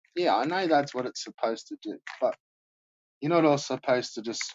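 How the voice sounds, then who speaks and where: A mumbling man with an Australian accent. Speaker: live streamer. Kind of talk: casual chat. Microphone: poor quality mic.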